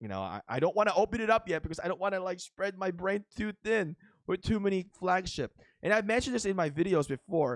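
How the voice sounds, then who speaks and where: Spoken very fast with a Filipino accent, the voice has ordinary pitch variation and a dry, close sound with no echo. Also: man, high pitch for a man. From Philippines. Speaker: mobile game YouTuber. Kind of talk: gameplay commentary. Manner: casual, with many fillers.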